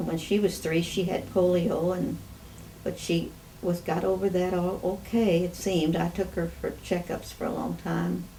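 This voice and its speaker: Noticeable background noise surrounds the speaker. A woman talks at a moderate pace. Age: 80s+. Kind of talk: interview answer.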